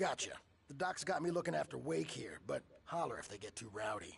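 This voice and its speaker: Putting on a raspy character voice, a man at a medium pitch talks at a fairly quick pace with very wide pitch swings. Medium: video game. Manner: casual.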